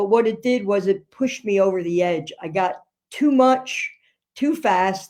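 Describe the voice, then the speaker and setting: Medium in pitch, a woman speaks at a fairly slow pace. Her intonation is lively. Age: 60s. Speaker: nurse. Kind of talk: interview. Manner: halting.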